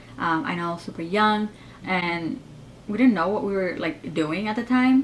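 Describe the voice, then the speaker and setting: Speaking with an American accent, a woman with a medium-pitched voice keeps a moderate pace and ordinary pitch variation over noticeable background noise. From United States, Mexican-Salvadoran family. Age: 20s. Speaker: beauty vlogger. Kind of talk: casual Q&A vlog. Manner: casual, filler-heavy.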